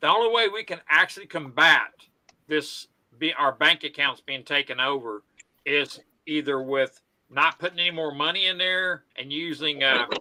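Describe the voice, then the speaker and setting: With a Southern US accent, a man speaks at a moderate pace in a fairly high, bright, sharp voice with ordinary pitch variation. The sound is dry and close with no echo. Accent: Southern twang. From US South. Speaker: live stream host. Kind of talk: casual chat.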